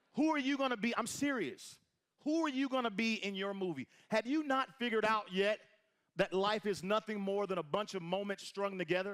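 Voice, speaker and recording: Loud and animated, a man speaks at a high pitch. His intonation is lively and his pace fairly quick. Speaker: motivational speaker at network marketing event. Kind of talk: motivational stage speech. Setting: stage with audience, echoing room.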